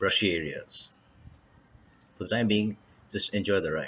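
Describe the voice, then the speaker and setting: Light background noise accompanies a man speaking at a moderate pace with fairly even intonation. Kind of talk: travel commentary.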